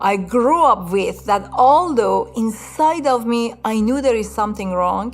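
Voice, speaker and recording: A woman speaks with an Iranian accent over noticeable background noise. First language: Farsi. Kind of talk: testimony. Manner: halting, with frequent fillers.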